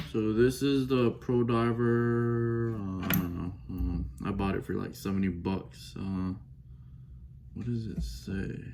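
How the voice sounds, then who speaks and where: The speaker talks at a very slow pace with very wide pitch swings. There is audible room echo. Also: man. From Belize. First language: Belizean Creole. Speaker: watch enthusiast unboxing. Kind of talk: casual unboxing vlog. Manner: casual, chatty, off-the-cuff.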